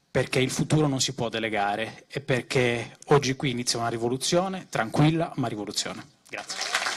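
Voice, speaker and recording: With ordinary pitch variation and a fairly quick pace, this is an ordinary speaking voice. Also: man, medium pitch for a man. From Sardinia. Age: 30s. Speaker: political activist, graphic designer. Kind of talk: political rally speech. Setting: stage with audience.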